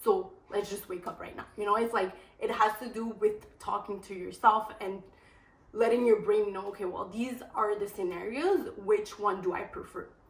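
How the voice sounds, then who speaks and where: A woman speaks at a fairly high pitch with fairly even intonation. Her loudness swings a lot. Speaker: lifestyle vlogger. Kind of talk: casual vlog talk to camera. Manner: fast.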